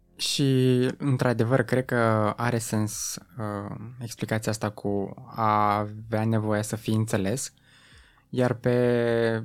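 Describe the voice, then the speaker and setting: This recording is very clean, and the background is silent. The voice belongs to a man. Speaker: podcast host. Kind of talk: interview chat.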